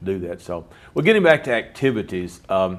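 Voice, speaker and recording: This is a normal speaking voice at a moderate pace. The recording is very clean, with a silent background. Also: man. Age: 60s. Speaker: college instructor and interview host. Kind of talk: interview.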